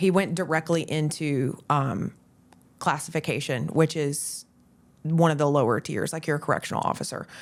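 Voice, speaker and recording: A woman with a Southern US accent and a very deep, low pitch, on a very clean recording with a silent background. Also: moderate pace. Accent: Southern twang. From US South, Florida Panhandle. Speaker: real estate agent. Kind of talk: podcast interview. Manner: conversational.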